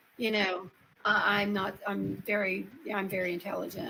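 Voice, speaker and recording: Noticeable background noise accompanies a woman with an Appalachian accent speaking at a fairly slow pace. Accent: Appalachian Southern US. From US South, Upper East Tennessee. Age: 60s. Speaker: paranormal experiencer. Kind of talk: interview.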